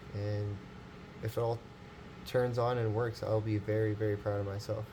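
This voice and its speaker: A man's fairly low, somewhat breathy voice with a dark, mellow tone, flat monotone delivery and moderate pace. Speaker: tech hobbyist youtuber. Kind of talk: casual vlog tutorial. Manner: halting, many fillers.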